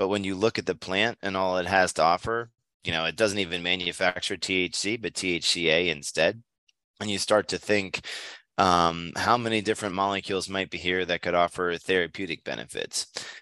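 A man with an American accent, very deep and low in pitch yet bright and sharp in tone, at a moderate pace with fairly even intonation, dry and close with no echo over a quiet background. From Pennsylvania, near Hershey. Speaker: chemist. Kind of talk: interview.

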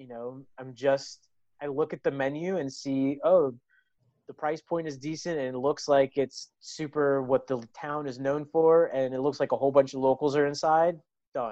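Against a quiet background, a man with an unremarkable speaking voice talks at a fairly quick pace with fairly even intonation. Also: dry, close sound with no echo. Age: 40s. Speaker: hospitality management professor. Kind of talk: casual interview.

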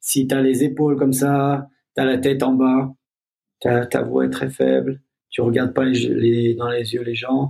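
Monotone and flat, a man speaks at medium pitch. His pace is fairly slow. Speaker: movement instructor. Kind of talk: casual chat.

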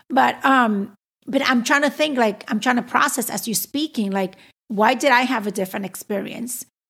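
Moderate pace and ordinary pitch variation in a very clean recording with a silent background. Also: woman, high pitch for a woman. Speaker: lawyer and podcast host. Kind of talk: casual chat.

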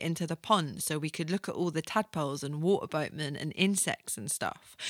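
A woman speaks fairly quickly at a fairly low pitch, with lively intonation, big swings in loudness, and a bright, sharp yet warm, playful tone. The very clean recording has a silent background and a dry, close sound with no echo. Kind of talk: radio DJ patter, chatty solo podcast intro. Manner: casual, rambling, self-deprecating, laughs at own jokes, filler-heavy; warm, informal, playful, full of ums and asides.

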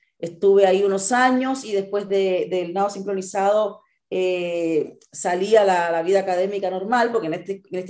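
This woman's voice sits at a medium pitch. She talks at a fairly quick pace. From Cuba. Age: 40s. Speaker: ultramarathon runner. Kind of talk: interview. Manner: halting with repetitions.

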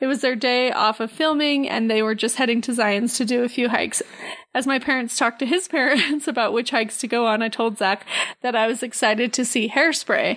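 A high-pitched woman talks at a fairly quick pace with fairly even intonation and very even loudness. Noticeable background noise runs under her speech. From Canada. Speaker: podcast co-host. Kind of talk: casual chat.

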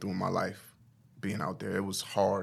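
A man's fairly low voice with an American accent, an ordinary speaking voice at a moderate pace, in a very clean recording with a silent background. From US Midwest, Omaha, Nebraska. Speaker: mental health counselor. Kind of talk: interview. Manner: casual.

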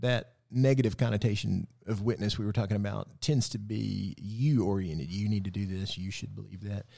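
At a moderate pace with hardly any pauses, a man with a Southern US accent speaks in a dark, mellow, fairly low voice with ordinary pitch variation, in a very clean recording with a silent background. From West Tennessee. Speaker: pastor. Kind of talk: casual bible study chat.

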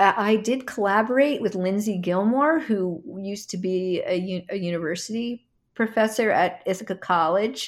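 Speaking with an American accent and hardly any pauses, a woman has an ordinary speaking voice and ordinary pitch variation in a very clean recording with a silent background. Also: medium pitch for a woman, moderate pace. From New Jersey, near Philadelphia. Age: 60s. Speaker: dancer and choreographer. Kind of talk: interview, personal reminiscence.

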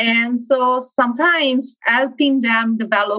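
With music playing in the background, a woman speaks in a high pitch. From Italy (Milan). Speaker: engineering director. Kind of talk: interview.

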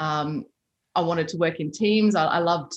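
Against a quiet background, a woman talks with an Australian accent. Her pitch is fairly low, with ordinary pitch variation. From Australia, Byron Bay hinterland. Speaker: army veteran. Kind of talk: interview conversation.

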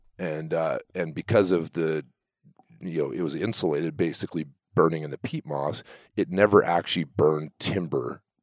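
A man speaks at a moderate pace with a very deep, low pitch. His intonation is fairly even, and the sound is dry and close, with no echo. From Canada, central British Columbia. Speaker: sawmill owner. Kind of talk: casual interview.

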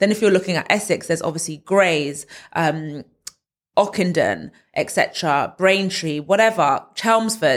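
A woman speaks at a moderate pace with a London accent and ordinary pitch variation. The recording is very clean, with a silent background. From northwest London. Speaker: property content creator. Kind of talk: casual interview.

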